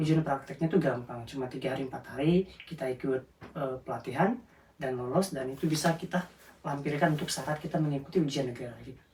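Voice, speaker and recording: A man talks at a very fast pace. His pitch is fairly high, with fairly even intonation. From South Sumatra, Indonesia (Lubuk Linggau). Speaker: care worker. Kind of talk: interview. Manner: halting.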